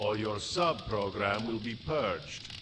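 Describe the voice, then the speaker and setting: A put-on character voice at a fairly slow pace, with clear background noise. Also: man, medium pitch for a man. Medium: game stream. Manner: curt, commanding.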